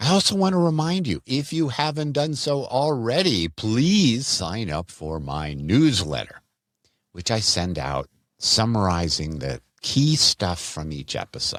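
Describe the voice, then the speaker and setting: At a fairly slow pace, a man speaks in a medium pitch with very wide pitch swings. The recording is very clean, with a silent background. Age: 60s. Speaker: physician health podcaster. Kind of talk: health podcast monologue.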